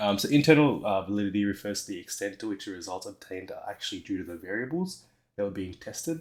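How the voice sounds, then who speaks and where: On a very clean recording with a silent background, a man with an Australian accent talks at a very fast pace, his pitch fairly low and its variation ordinary. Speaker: teacher. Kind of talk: recorded lesson explanation. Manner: hesitant, with fillers and stumbles.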